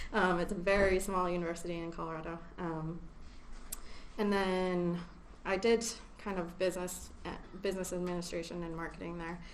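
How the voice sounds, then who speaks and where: Speaking at a fairly quick pace with long, frequent pauses, a woman with an American accent has a fairly low pitch and monotone, flat intonation. Audible room echo is present. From US Midwest, Chicago. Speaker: research associate. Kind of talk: seminar talk. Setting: seminar room with audience. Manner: hesitant, many fillers.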